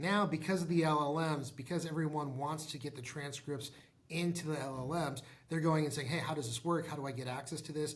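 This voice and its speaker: A somewhat breathy voice moves at a fairly quick pace with fairly even intonation. Audible room echo surrounds it. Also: man, fairly high pitch for a man. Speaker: tech startup founder and CEO. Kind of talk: interview. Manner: fast.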